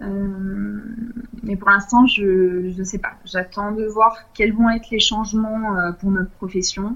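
Very slowly, a woman speaks at a medium pitch with monotone, flat intonation. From southern France, Nice. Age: 30s. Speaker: intensive care nurse. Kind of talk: interview. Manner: hesitant, many fillers.

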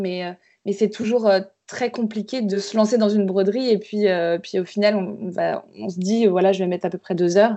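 With monotone, flat intonation, a woman speaks at a medium pitch and a moderate pace. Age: 20s. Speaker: embroiderer. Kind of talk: interview. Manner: halting.

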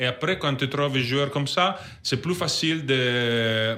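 Here a man talks at a fairly slow pace. His pitch is medium. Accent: Italian. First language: Italian (speaking French). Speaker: basketball sporting director. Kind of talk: interview. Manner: halting.

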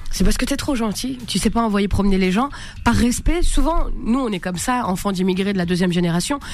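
An animated tone and lively intonation come at a fairly quick pace, with audible room echo and noticeable background noise. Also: woman, medium pitch for a woman. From France, Maghrebi family. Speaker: comedian. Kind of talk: radio interview. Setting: radio studio.

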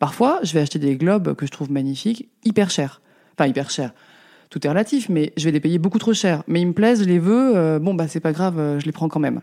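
Recorded very cleanly over a silent background, a woman speaks with a dark, mellow tone, a fairly low pitch and lively intonation. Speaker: lamp designer. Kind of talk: interview. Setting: her workshop. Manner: hesitant, many fillers.

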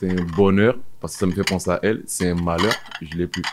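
A man speaks with a very deep, low pitch. Noticeable background noise runs beneath him. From outside France, arrived at 17. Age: 30s. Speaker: former prisoner, waiter. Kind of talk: personal testimony interview. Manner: halting, repeats words.

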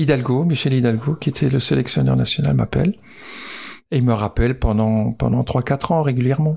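This somewhat breathy voice keeps a very even loudness, a moderate pace and ordinary pitch variation. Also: man, medium pitch for a man. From Alsace, France. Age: 60s. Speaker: former footballer. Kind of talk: interview. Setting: on location.

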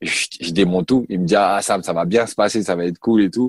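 A man talks at a moderate pace with ordinary pitch variation, in a very clean recording with a silent background and a dry, close sound with no echo. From Paris region, France. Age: 30s. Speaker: former professional basketball player. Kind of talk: interview testimony. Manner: halting, many hesitations.

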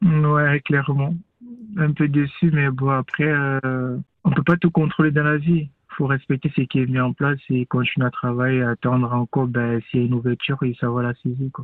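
Fairly high in pitch, a man with a plain, everyday voice talks at a moderate pace with fairly even intonation. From Cameroon. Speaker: professional footballer. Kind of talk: radio interview.

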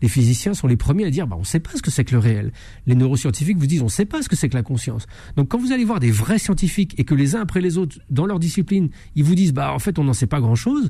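The voice races at a very fast pace, somewhat breathy with a dark, mellow tone and very wide pitch swings. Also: man, fairly high pitch for a man. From France. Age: 50s. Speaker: investigative journalist and author. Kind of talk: radio interview.

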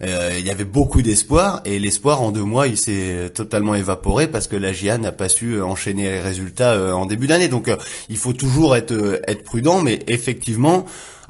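Lively intonation from a man with a fairly low pitch, at a moderate pace, amid noticeable background noise. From Le Havre, Normandy, France. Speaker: sports journalist. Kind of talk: casual sports discussion.

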